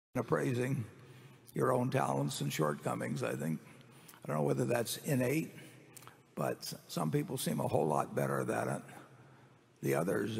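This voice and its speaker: Very wide pitch swings run through this man's very deep, low voice as he talks at a moderate pace. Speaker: company chairman on panel. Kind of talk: Q&A answer at shareholder meeting. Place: hall.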